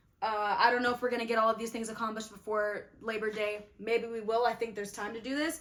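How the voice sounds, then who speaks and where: A woman with a fairly high pitch speaks very fast, with hardly any pauses and an animated tone. Noticeable background noise sits behind her. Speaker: youtuber, actor. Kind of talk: casual vlog tutorial.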